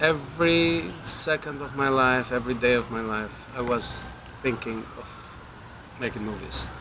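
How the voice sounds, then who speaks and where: A man with a medium-pitched voice speaks at a fairly slow pace, his pitch varying in an ordinary way. Noticeable background noise sits behind him. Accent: Albanian. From Albania. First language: Albanian. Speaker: film director. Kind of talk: interview. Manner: halting, with repetitions.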